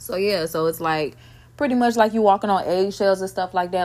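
Talking at a fairly quick pace, a woman uses an animated tone with a medium pitch and ordinary pitch variation. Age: 30s. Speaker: podcast host. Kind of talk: solo casual talk.

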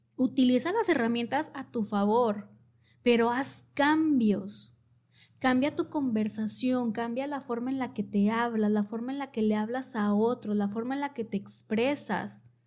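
A woman has an unremarkable speaking voice at a fairly high pitch with ordinary pitch variation. She goes at a fairly slow pace in a very clean recording with a silent background. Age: 30s. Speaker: podcast host, wellness/therapy speaker. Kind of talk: solo podcast monologue, motivational advice. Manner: warm, conversational.

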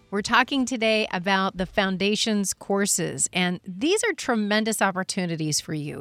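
A woman with a plain, everyday voice, fairly high pitch and lively intonation, at a moderate pace, in a dry, close sound with no echo. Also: very clean recording, silent background. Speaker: radio host. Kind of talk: radio show hosting.

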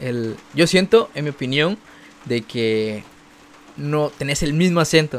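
At a very slow pace with long, frequent pauses, a man speaks at a fairly high pitch with lively intonation. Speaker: podcast host and youtuber. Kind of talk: casual chat. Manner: neutral Spanish modulation.

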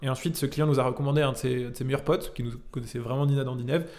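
Speaking at a very fast pace, a man keeps a medium pitch. His intonation is monotone and flat. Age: 20s. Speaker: entrepreneur. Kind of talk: casual interview. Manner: casual, many fillers.

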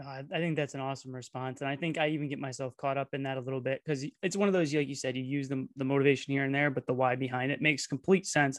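A man with a fairly high voice talks very fast with fairly even intonation. The recording is dry and close with no echo, over a quiet background. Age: 30s. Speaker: podcast host, fitness coach. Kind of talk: casual interview chat.

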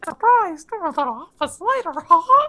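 This put-on character voice is squeaky, with an extremely high pitch and a playful tone. Its pitch swings very widely at a moderate pace. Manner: cartoonish, playful.

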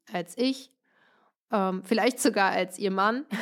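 In a very clean recording with a silent background, a woman speaks at a fairly slow pace. Hers is an ordinary speaking voice, fairly high in pitch with ordinary pitch variation. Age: 30s. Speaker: wedding podcast host. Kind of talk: solo podcast monologue.

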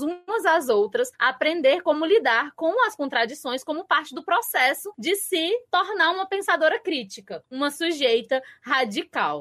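A woman with lively intonation talks at a moderate pace. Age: 20s. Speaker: literature content creator. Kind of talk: casual chat. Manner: loud.

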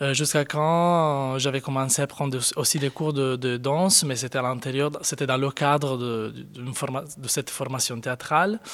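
On a very clean recording with a silent background, a man speaks at a moderate pace and a fairly high pitch with fairly even intonation. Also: hardly any pauses. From Sardinia, Italy. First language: Italian (speaking French). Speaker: contemporary dancer. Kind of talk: interview. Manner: halting.

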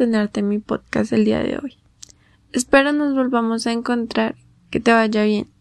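The speaker has a normal speaking voice with fairly even intonation. The pace is fairly slow. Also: woman. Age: young. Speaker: student podcast host. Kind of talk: interview. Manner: formal.

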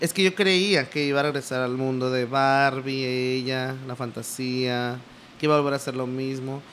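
A man talks at a moderate pace in a medium pitch, keeping his intonation fairly even. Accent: Mexican. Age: 20s. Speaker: podcast co-host, video producer and voice actor. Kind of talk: casual chat.

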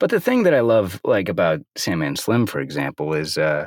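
With very wide pitch swings, a man speaks in a raspy, fairly low voice. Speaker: audiobook narrator and actor. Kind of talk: casual interview chat. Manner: laid-back, jokey, laughs often.

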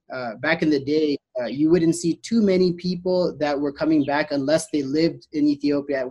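Speaking at a fairly quick pace, a man uses a dark, mellow tone and fairly even intonation. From US, Boston, Massachusetts. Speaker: resort operations manager. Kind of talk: interview.

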